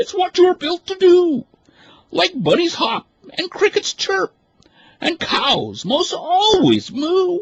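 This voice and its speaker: Squeaky and at an extremely high pitch, a put-on character voice moves at a fairly slow pace with long, frequent pauses. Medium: read story. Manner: indignant, proper.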